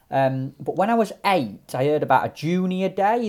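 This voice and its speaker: A man in a South Yorkshire accent at a moderate pace, on a very clean recording with a silent background. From South Yorkshire, mining village near Sheffield/Rotherham. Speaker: match angler. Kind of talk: casual chat.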